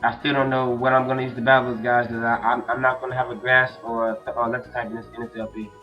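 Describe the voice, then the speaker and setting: Over music in the background, a man with a medium pitch talks very fast. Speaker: let's player. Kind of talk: gameplay commentary. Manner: casual, hesitant.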